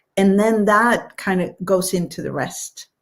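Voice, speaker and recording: A woman with a Swedish accent speaks at a medium pitch and a very slow pace, with vocal fry, in a very clean recording with a silent background. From Sweden. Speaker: author. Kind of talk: live stream interview. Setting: live stream.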